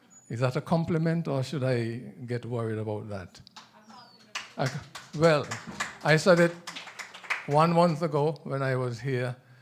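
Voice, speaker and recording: With a Nevisian accent, a man at medium pitch talks at a moderate pace with ordinary pitch variation and long, frequent pauses, over noticeable background noise. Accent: Caribbean (Nevisian) English. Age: 70s. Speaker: author. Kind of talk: book presentation at authors' forum. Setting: room with live audience.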